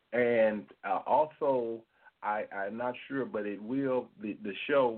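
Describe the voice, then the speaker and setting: A man speaks with an ordinary speaking voice at a medium pitch. His pace is fairly slow and his intonation fairly even. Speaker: guest speaker. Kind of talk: radio interview.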